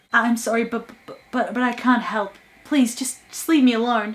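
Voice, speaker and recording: A woman puts on a shaky, high-pitched character voice. She keeps to a flat monotone at a moderate pace. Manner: pleading, stammering.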